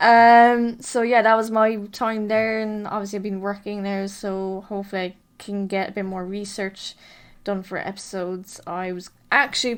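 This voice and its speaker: Her loudness swinging widely, a woman at a medium pitch speaks at a moderate pace with fairly even intonation in a very clean recording with a silent background. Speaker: true crime podcaster. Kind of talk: casual podcast monologue. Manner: hesitant, many fillers.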